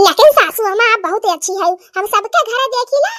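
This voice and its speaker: A woman's cartoonish character voice with lively intonation, in a dry, close sound with no echo. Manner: polite, respectful.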